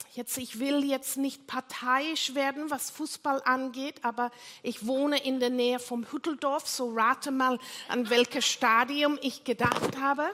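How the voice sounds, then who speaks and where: In a non-native accent, the speaker uses a raised, projected voice with monotone, flat intonation. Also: woman, high pitch for a woman, fairly slow pace. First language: not German (speaking German). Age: 60s. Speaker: pastor. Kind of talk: sermon. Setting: church.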